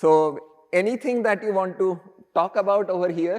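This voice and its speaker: The speaker is a man with a Marathi accent. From India, Maharashtra. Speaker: professor. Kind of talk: lecture.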